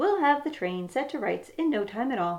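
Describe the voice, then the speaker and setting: A woman does a put-on character voice at a high pitch with a calm tone. Her pitch swings very widely, and she keeps a moderate pace. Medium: read story. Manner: calm, sensible.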